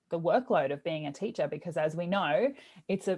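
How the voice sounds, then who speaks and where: A woman speaks with an Australian accent. Her pitch is fairly low, and the background is quiet. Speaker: teacher wellbeing coach and podcast host. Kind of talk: interview.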